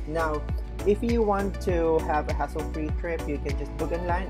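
The speech moves at a moderate pace while clear music plays in the background. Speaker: travel vlogger. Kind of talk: casual vlog tour narration. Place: street. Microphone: phone near.

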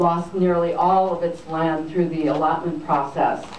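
With light background noise and audible room echo, a woman talks at a fairly slow pace in a fairly low pitch. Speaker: event host introducing speaker. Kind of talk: speaker introduction. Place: hall.

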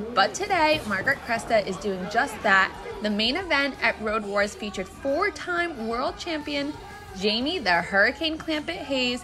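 A high-pitched woman speaks at a moderate pace with very wide pitch swings, crowd noise audible behind her. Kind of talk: news voiceover narration.

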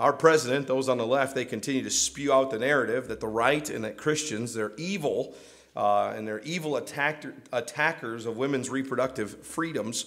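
A man with an American accent, medium pitch, vocal fry, and ordinary pitch variation in a quiet background. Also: moderate pace. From US. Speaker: pastor. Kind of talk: sermon. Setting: church. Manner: halting, full of repeated words and restarts; earnest, pleading. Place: church.

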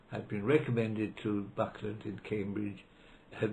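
Somewhat breathy delivery at a moderate pace. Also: man. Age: 90s. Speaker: law professor. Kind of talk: interview reminiscence; interview answer, reminiscence. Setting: library. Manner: halting.

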